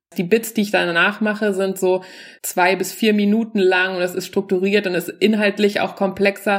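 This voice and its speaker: A woman talks at medium pitch and a moderate pace, her intonation monotone and flat. The recording is very clean, with a silent background. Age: 40s. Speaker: stand-up comedian. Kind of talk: stand-up; casual chat.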